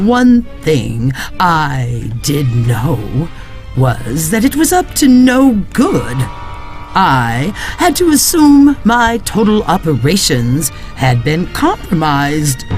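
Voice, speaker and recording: A put-on character voice at a very slow pace over clear music in the background. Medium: read story. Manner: tired, brooding.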